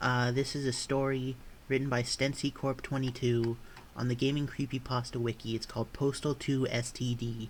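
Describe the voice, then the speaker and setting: A man speaks at a moderate pace in a somewhat breathy voice with monotone, flat intonation. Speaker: creepypasta narrator. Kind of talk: casual talk to camera.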